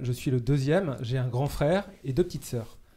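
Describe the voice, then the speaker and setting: A man speaks at a moderate pace in a fairly high pitch. His tone is dark, mellow and somewhat breathy. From Brittany, Morbihan (France). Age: 30s. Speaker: seminarian. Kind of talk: casual chat. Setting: studio. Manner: halting.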